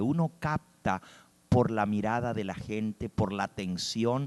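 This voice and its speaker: Here is a man with an ordinary speaking voice at medium pitch, talking at a fairly slow pace. His intonation is lively, and the sound is dry and close with no echo. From US (raised there, Spanish-speaking family). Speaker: preacher. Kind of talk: sermon.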